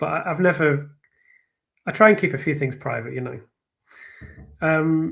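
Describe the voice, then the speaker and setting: With long, frequent pauses, a man of fairly high pitch speaks at a moderate pace with ordinary pitch variation. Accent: slight northern English. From northern England. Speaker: true crime commentator and writer. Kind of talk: live stream discussion. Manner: halting, many fillers and restarts; clear, careful speech.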